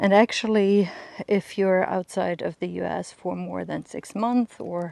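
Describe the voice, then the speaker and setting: A woman's fairly low, dark, mellow voice at a fairly slow pace, with fairly even intonation. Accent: German. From Germany. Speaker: lifestyle vlogger. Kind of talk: casual vlog monologue. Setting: outdoors on a walk with dog. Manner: hesitant, many fillers and repeats.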